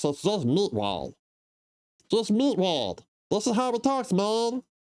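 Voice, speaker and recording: A put-on character voice, fairly high in pitch, moves at a fairly slow pace. The recording is very clean, with a silent background. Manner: goofy.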